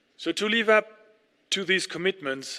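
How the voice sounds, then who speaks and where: In a very clean recording with a silent background, a man with a French accent speaks at a moderate pace in a bright, sharp tone with ordinary pitch variation. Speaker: ambassador. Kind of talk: formal speech.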